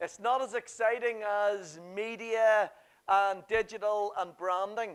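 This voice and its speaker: Speaking at a very slow pace in a Northern Irish accent, the voice comes through on a very clean recording with a silent background. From Northern Ireland. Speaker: workshop presenter. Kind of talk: seminar presentation. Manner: animated.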